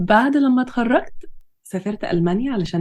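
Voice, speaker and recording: Somewhat breathy and dark, mellow in tone, a woman's voice shows very wide pitch swings. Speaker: pharmacy lecturer and podcast co-host. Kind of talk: scripted introduction.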